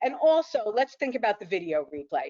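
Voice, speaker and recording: A woman's fairly high voice, animated in tone, with very wide pitch swings. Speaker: workshop speaker and author. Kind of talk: online workshop presentation. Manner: fast.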